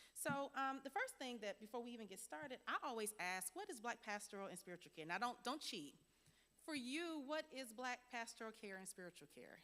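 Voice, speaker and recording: Over noticeable background noise, a woman talks at a fairly quick pace in a high voice with very wide pitch swings. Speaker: workshop presenter on pastoral care. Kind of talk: interactive workshop lecture. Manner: fast when excited; lively, interactive.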